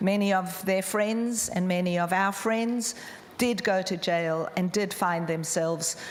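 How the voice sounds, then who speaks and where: Amid noticeable background noise and audible room echo, a woman speaks fairly slowly at medium pitch with ordinary pitch variation. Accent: South African. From South Africa. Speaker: charity founder. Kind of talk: conference talk.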